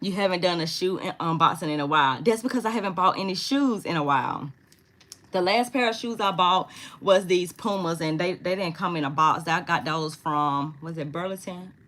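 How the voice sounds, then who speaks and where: A woman speaks in an animated tone at a fairly quick pace. Her pitch is fairly low, with ordinary variation. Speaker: content creator. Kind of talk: live stream Q&A. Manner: fast.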